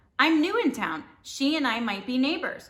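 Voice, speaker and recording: A woman's high, raspy put-on character voice at a moderate pace. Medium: read story. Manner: smooth, scheming.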